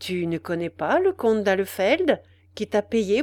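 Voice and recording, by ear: Text read aloud in a natural voice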